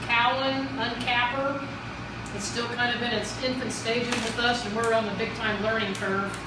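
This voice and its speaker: A woman talks at a moderate pace. Audible room echo and noticeable background noise surround her voice. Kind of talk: tour explanation. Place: workshop. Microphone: camera far.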